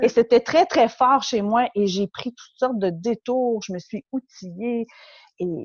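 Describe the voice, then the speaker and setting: A woman with a Quebec accent speaks at a very slow pace in a fairly high pitch, with lively intonation. Her loudness swings widely, and the sound is dry and close with no echo. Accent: Quebec French, warm. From Quebec, Montreal. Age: 40s. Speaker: interview guest. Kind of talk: personal testimony in interview. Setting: remote interview.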